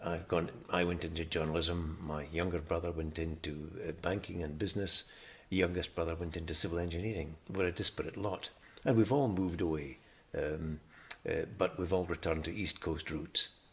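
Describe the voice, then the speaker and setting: With a northeast Scottish accent, a man speaks at a moderate pace in a very deep, low pitch that is somewhat breathy, his intonation fairly even. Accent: Scottish (north-east). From Scotland (Glasgow, then Aberdeen). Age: 70s. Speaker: retired journalist, interviewee. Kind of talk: oral history interview. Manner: hesitant, many fillers and restarts.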